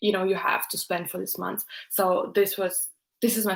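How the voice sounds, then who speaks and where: The speaker talks at a fairly slow pace with a Russian accent. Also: woman. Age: 20s. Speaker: YouTuber, student. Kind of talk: live stream Q&A chat. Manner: hesitant, many fillers.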